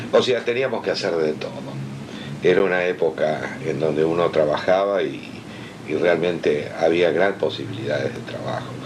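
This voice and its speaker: Speaking at a moderate pace in a Rioplatense accent, a man with a very deep, low pitch is heard with audible room echo and noticeable background noise. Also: ordinary pitch variation. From Argentina, Buenos Aires. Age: 60s. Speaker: comics artist. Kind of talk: interview.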